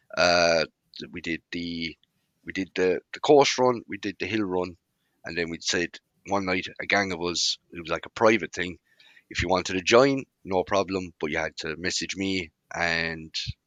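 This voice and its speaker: A man with a rural Irish accent speaks in a very deep, low voice at a moderate pace, with ordinary pitch variation and long, frequent pauses. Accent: Irish country. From rural Ireland. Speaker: car club founder. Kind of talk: casual interview chat.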